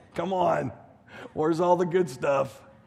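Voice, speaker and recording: A man talks in an animated tone at a high pitch. Audible room echo surrounds his voice. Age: 50s. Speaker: pastor. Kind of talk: sermon.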